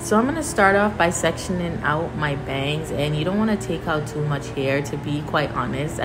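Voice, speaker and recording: A woman talks at a moderate pace with hardly any pauses and ordinary pitch variation. Noticeable background noise is present. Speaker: hair tutorial creator. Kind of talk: tutorial. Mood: relaxed, friendly. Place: home room. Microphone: phone near.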